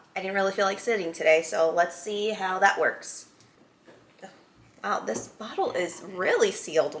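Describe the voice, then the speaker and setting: Noticeable background noise surrounds a woman speaking at a moderate pace. Her loudness swings widely, and she takes long, frequent pauses. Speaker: whiskey reviewer. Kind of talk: reading aloud; casual product review. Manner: casual, hesitant with fillers.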